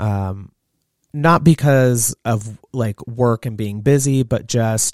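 In an ordinary speaking voice, a man talks at medium pitch with fairly even intonation, in a dry, close sound with no echo and a very clean recording with a silent background. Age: 30s. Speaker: podcast co-host, salon professional. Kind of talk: casual chat.

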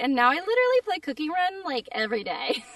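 A woman talks at a fairly quick pace in a dry, close sound with no echo. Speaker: voice actor. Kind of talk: casual interview chat. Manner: animated, frequent laughs and fillers.

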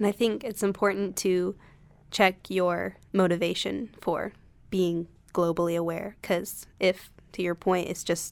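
A woman speaks fairly slowly in an ordinary speaking voice, with a fairly low pitch, fairly even intonation and an American accent. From North Carolina (Concord, near Charlotte). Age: 20s. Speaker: college student. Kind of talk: casual chat.

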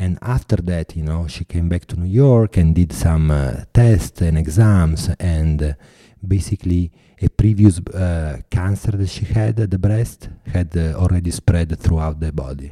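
At a fairly slow pace, a man with an Italian accent speaks in a very deep, low, dark and mellow voice with ordinary pitch variation, the sound dry and close with no echo. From Italy. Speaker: artist and filmmaker. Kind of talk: interview. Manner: halting.

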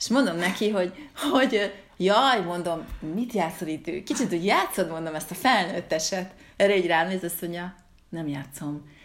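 Pitch variation is ordinary here. The speech moves at a moderate pace. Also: woman, medium pitch for a woman. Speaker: podcast host, writer. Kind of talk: casual chat. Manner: halting, many repeated words.

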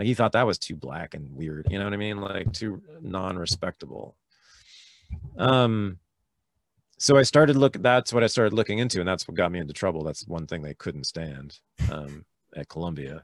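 A man's very deep, low voice with a Californian accent, lively intonation and a moderate pace, dry and close with no echo. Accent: General American (Californian). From US West Coast, Berkeley, California. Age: 50s. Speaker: historian and podcast host. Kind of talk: casual interview chat.

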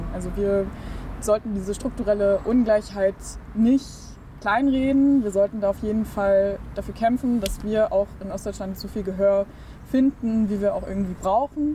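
A woman of medium pitch at a moderate pace, with ordinary pitch variation and noticeable background noise. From Saxony-Anhalt, Burgenlandkreis (rural eastern Germany). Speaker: youth political organization spokesperson. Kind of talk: interview.

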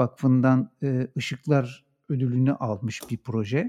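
A man's dark, mellow tone at a very slow pace. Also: dry, close sound with no echo, very clean recording, silent background. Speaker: podcast host. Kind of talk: casual interview.

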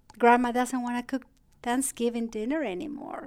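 This woman speaks with a Spanish accent. Her pitch sits fairly high. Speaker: geriatric psychiatrist. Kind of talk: interview.

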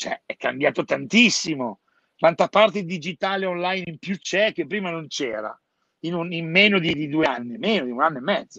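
The voice has a bright, sharp tone and lively intonation at a moderate pace. The sound is dry and close, with no echo. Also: man, high pitch for a man. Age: 50s. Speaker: hairdresser business consultant. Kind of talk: casual chat.

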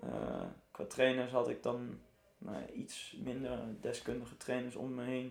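The man pauses long and often. He talks at a fairly slow pace, with audible room echo. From Netherlands, Arnhem. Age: 20s. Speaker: survival run trainer and entrepreneur. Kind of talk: casual interview.

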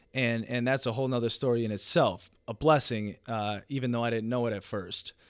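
A man with an ordinary speaking voice, medium pitch, fairly even intonation and a fairly quick pace with hardly any pauses. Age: 30s. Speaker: podcast host, entrepreneur. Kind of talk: solo monologue, personal story. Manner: casual, profane.

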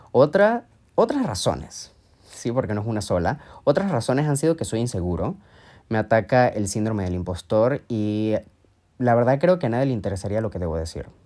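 In a very clean recording with a silent background, a dark, mellow voice moves at a moderate pace with very wide pitch swings. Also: man. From Venezuela, Mérida. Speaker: podcast host, language teacher and digital strategist. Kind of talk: solo monologue podcast. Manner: casual, conversational.

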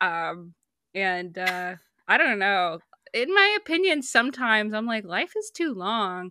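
The voice has a bright, sharp tone and an American accent. The recording is very clean with a silent background. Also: woman, fairly high pitch for a woman, lively intonation, fairly slow pace. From US Midwest, small town on the Ohio River. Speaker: animation writer and cartoonist, podcaster. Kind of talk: casual interview chat.

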